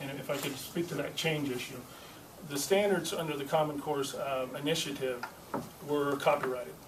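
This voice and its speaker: A man with a fairly high voice speaks in fairly even intonation, with noticeable background noise and audible room echo. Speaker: state legislator. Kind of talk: press conference. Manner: fast.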